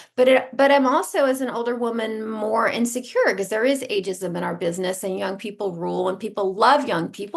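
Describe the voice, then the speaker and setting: A woman with a plain, everyday voice, fairly high in pitch, at a fairly quick pace. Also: hardly any pauses. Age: 50s. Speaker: fashion stylist. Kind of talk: interview.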